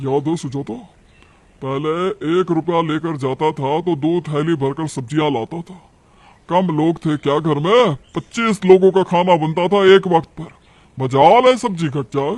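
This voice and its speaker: This man uses a cartoonish character voice. His pitch sits fairly high. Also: moderate pace. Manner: grumbling, dramatic.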